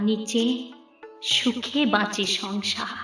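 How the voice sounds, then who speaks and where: A woman's raised, projected voice over music in the background. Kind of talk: poetry reading.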